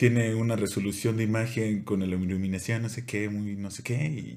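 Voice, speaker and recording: Fairly low male speech, its intonation fairly even. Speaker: podcast co-host. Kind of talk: casual chat. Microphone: new microphone making voice sound deeper.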